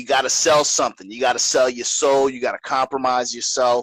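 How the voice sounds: This man has a medium pitch and a fairly bright tone. The sound is dry and close, with no echo.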